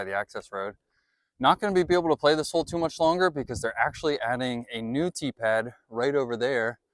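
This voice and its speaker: A man with an ordinary speaking voice talks at a fairly quick pace with lively intonation. The recording is very clean, with a silent background and a dry, close sound with no echo. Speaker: disc golf youtuber. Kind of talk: vlog commentary. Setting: outdoors.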